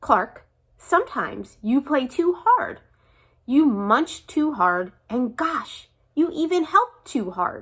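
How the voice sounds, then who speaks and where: A woman uses a put-on character voice, high-pitched with very wide pitch swings, at a fairly slow pace. The recording is very clean, with a silent background. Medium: read story. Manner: gentle, patient.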